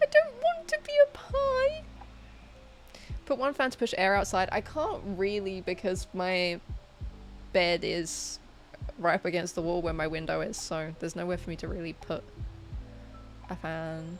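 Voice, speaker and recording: A woman with a British accent speaks at a moderate pace, leaving long and frequent pauses, over noticeable background noise. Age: 20s. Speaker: livestreamer. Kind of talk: casual chat. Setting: bedroom livestream.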